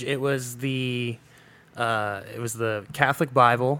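A man with an American accent, speaking at a fairly slow pace. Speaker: podcast co-host and music producer. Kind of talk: casual chat. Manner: calm, serious.

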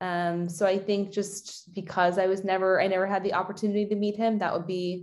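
At a moderate pace, a woman uses a normal speaking voice at medium pitch. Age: 30s. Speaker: fitness and nutrition coach. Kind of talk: casual chat.

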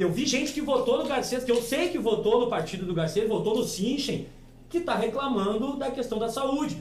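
Over noticeable background noise and audible room echo, a man with a southern Brazilian accent speaks at an extremely high pitch with ordinary pitch variation. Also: moderate pace. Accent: gaúcho Brazilian Portuguese. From Rio Grande do Sul, Alvorada. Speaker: podcast host. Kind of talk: casual chat. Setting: studio.

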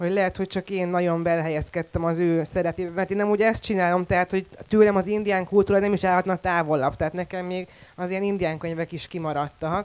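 A woman's medium-pitched voice at a very fast pace, with monotone, flat intonation. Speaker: poet and translator. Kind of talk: panel discussion. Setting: stage with audience.

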